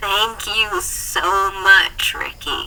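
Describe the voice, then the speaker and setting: Against light background noise, a woman puts on a character voice at a medium pitch. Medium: read story. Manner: warm, confident.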